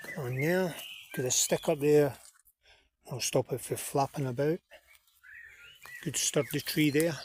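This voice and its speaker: A man's fairly high, somewhat breathy voice at a fairly slow pace, with long, frequent pauses. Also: fairly even intonation. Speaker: bushcraft vlogger. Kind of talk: outdoor vlog narration. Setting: outdoors in woods. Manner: whispering.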